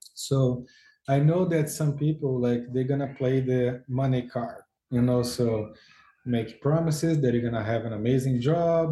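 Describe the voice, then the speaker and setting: Medium-pitched, somewhat breathy male voice with a Brazilian Portuguese accent, a dark, mellow tone, fairly even intonation and a fairly slow pace. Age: 40s. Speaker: football agent. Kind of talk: interview.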